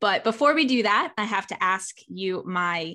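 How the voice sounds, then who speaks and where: Over a quiet background, a woman speaks at medium pitch with a bright, sharp tone and ordinary pitch variation. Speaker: podcast host. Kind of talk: interview.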